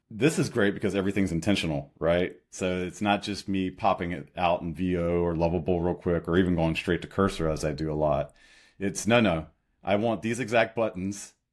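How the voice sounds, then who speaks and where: Speaking with an American accent at a fairly quick pace, a man uses a very deep, low pitch with ordinary variation in a very clean recording with a silent background. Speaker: startup co-founder and product designer. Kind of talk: podcast interview.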